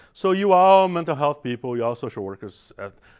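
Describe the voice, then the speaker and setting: A man with a Brazilian accent talks with ordinary pitch variation. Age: 50s.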